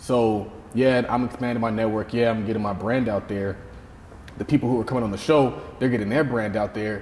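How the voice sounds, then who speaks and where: Speaking at a fairly quick pace with an American accent, a man uses an ordinary speaking voice with a medium pitch and fairly even intonation. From US South. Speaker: podcast host. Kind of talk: interview conversation.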